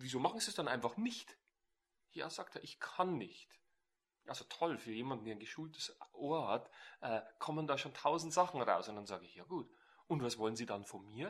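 The speaker moves at a moderate pace, taking long, frequent pauses, with big swings in loudness and very wide pitch swings. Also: man, fairly high pitch for a man. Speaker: NLP trainer. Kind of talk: casual interview. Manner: animated.

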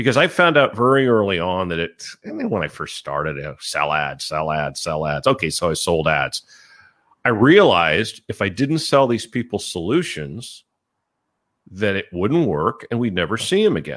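A man with a fairly low pitch speaks at a moderate pace, his voice making very wide pitch swings. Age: 60s. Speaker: website broker. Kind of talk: interview.

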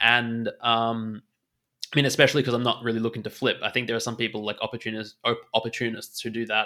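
A man's very fast, monotone, flat delivery in an Australian accent, bright and sharp in tone, on a very clean recording with a silent background. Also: medium pitch for a man. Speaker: NFT trader and former poker player. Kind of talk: casual interview.

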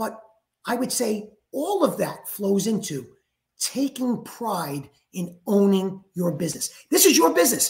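The speech comes at a fairly slow pace in a New York accent. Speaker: franchise executive. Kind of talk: podcast interview.

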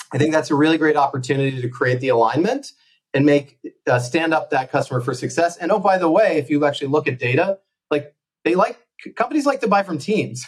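Fairly high-pitched and somewhat breathy, this man talks at a very fast pace. His pitch varies in an ordinary way. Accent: American. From US. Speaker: company founder and sales executive. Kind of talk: podcast interview.

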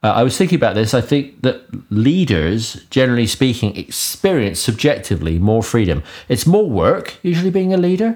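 In a British accent, a man speaks at a fairly quick pace with very wide pitch swings. The recording is very clean, with a silent background. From UK. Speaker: podcast co-host. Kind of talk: casual interview chat.

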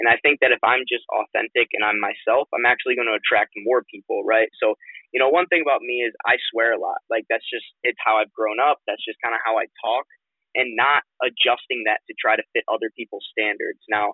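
At a fairly quick pace, a man talks at a medium pitch with fairly even intonation, in a dry, close sound with no echo.

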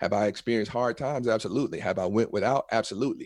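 In a very clean recording with a silent background, a man uses a normal speaking voice at medium pitch with ordinary pitch variation. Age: 40s. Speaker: entrepreneur and presentation coach. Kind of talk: interview.

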